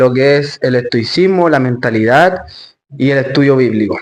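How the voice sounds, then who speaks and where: The man has a normal speaking voice. His pace is moderate. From Chile, Santiago. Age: 20s. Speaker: stoicism and Bible study coach. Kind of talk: interview.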